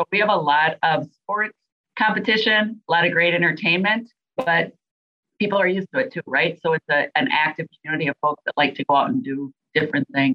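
Lively in intonation, a woman speaks at a fairly quick pace with a fairly low pitch. She has a Minnesota accent. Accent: Minnesota, nasal. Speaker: venue sales and marketing director. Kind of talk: interview.

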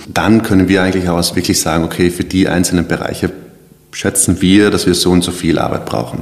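Amid noticeable background noise, a man with a very deep, low pitch talks fairly quickly, his intonation fairly even. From South Tyrol. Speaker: web designer and agency founder. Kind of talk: casual interview.

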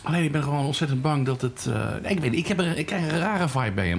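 A man talks at a fairly quick pace with lively intonation and a fairly high pitch. Noticeable background noise runs underneath. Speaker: podcast host. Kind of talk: casual chat. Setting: pub.

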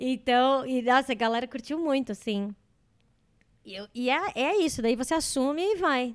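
On a very clean recording with a silent background, a woman speaks at a moderate pace in a high voice with lively intonation. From Brazil. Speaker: comedian. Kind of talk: casual chat.

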